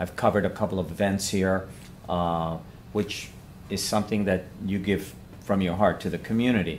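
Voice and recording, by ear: This man's voice sits low in pitch with a slightly mellow tone. He talks at a moderate pace with fairly even intonation.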